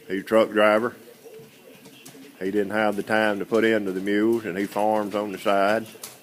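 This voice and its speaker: A man's fairly low, monotone, flat delivery at a moderate pace, with long, frequent pauses and noticeable background noise. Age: 60s. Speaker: mule seller. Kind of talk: sales pitch. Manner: halting.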